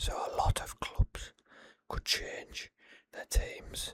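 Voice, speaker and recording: Whispering in a calm tone, a man is heard in dry, close sound with no echo. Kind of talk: ASMR football predictions talk. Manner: whispered, calm.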